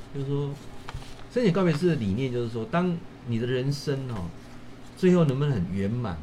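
A somewhat breathy man at medium pitch with lively intonation, a fairly quick pace, long, frequent pauses and audible room echo. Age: 50s. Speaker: professor and livestream host. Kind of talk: livestream talk. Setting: livestream. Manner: animated.

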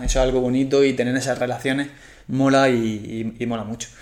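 A man speaks at a medium pitch. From Spain, Murcia. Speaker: endurance coach. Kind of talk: casual interview chat.

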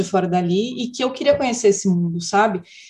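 Pitch variation here is ordinary. The delivery is fairly quick. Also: woman. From interior of São Paulo state, Brazil. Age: 40s. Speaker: filmmaker and festival curator. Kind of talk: casual interview.

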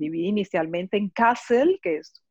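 With an ordinary speaking voice, a woman talks at a moderate pace and ordinary pitch variation. The sound is dry and close, with no echo. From Colombia, Barranquilla. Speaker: dancer and arts foundation founder. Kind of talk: interview.

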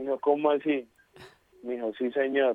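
The delivery is fairly quick and monotone, with flat intonation. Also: man. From Colombia. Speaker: footballer. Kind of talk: interview.

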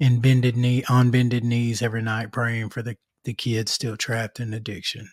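With an Arkansas accent, a man speaks at medium pitch and a moderate pace, recorded very cleanly over a silent background. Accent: Southern US (Arkansas). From Arkansas, North Little Rock. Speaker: podcast host, author and public speaker. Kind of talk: casual interview.

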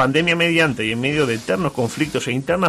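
Noticeable background noise surrounds a man whose voice sits fairly high. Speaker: radio host. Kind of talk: casual chat. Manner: animated.

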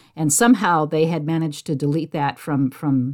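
A woman speaks at a very fast pace with an American accent. Her pitch is very deep and low, with ordinary pitch variation. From US West Coast, San Jose, California. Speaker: podcast host. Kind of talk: casual chat.

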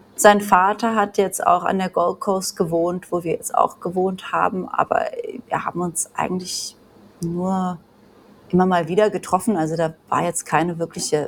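A woman speaks at a moderate pace with fairly even intonation. Noticeable background noise sits behind her voice. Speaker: emigrant mother of three. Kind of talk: casual chat.

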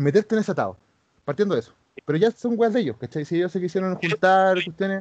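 A man with a Chilean accent at a very fast pace and high pitch, with big swings in loudness. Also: ordinary pitch variation, dry, close sound with no echo. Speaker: former pro wrestler. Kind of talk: casual chat.

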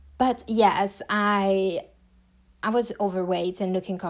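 Speech in a French accent comes at a very slow pace with fairly even intonation. The recording is very clean, with a silent background. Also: woman. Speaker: podcast host. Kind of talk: solo personal podcast monologue. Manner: casual, conversational, warm.

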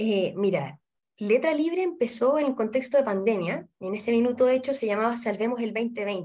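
A woman speaks with lively intonation and a fairly high pitch, keeping to a moderate pace. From Chile, Santiago. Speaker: literacy nonprofit coordinator and tutor. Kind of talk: interview.

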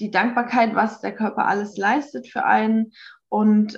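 A somewhat breathy woman's voice at a fairly high pitch, with ordinary pitch variation over a quiet background. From Baden-Württemberg, Hockenheim. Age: 30s. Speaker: organic farmer. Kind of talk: personal testimony interview. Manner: halting, many fillers.

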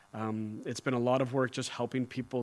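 In a plain, everyday voice, a man speaks at a medium pitch with fairly even intonation on a very clean recording with a silent background. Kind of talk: interview. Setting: church.

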